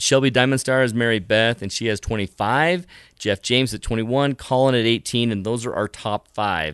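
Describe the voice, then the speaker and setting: A medium-pitched man speaks at a moderate pace in an animated tone with ordinary pitch variation. The background is quiet and the sound dry and close, with no echo. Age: 30s. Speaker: podcast host. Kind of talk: casual chat, storytelling. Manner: animated, laughs often.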